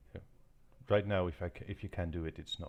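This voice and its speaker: The voice is somewhat breathy and comes with a non-native accent. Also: man. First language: not English. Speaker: gaming video creator. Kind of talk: gameplay commentary. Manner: halting, many fillers.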